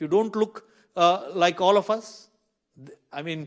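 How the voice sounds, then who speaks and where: A man speaks with an Indian accent. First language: an Indian language. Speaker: minister and seminar speaker. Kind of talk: seminar talk. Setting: seminar room with audience. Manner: halting with self-corrections.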